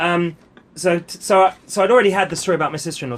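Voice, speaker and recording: The speech is mumbled and comes at a very fast pace. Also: man. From England, London. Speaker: stand-up comedian. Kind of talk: casual interview chat. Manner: hesitant, many fillers; mumbles.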